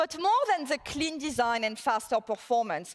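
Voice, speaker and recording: A woman with a French accent speaks at a moderate pace. Her high-pitched voice makes very wide pitch swings. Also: dry, close sound with no echo. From southern France. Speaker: tech executive. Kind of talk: conference keynote.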